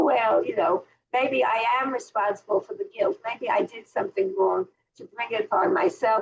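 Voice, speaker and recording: A woman speaks at a moderate pace, her pitch swinging very widely. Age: 80s+. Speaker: Bible teacher. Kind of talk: online class lecture; casual chat with class. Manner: halting, many fillers.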